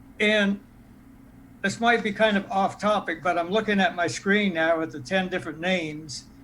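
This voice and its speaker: A man with a high pitch talks at a moderate pace in a bright, sharp tone. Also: ordinary pitch variation. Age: 70s. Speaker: charter commission member. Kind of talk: public meeting discussion.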